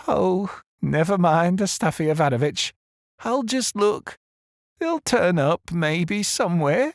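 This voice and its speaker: In a shaky, put-on character voice, a man speaks at a fairly slow pace with a high pitch. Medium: read story. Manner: hesitant, stammering.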